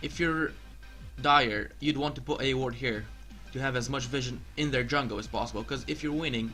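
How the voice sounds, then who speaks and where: A man with a non-native accent speaks over music in the background. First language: not English. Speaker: gamer. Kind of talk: video game tutorial narration.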